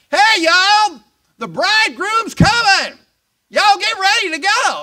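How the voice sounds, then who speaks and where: Shouting in a put-on character voice with a Southern US accent, the speaker hits an extremely high pitch at a moderate pace. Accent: Southern American. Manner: shouted, excited.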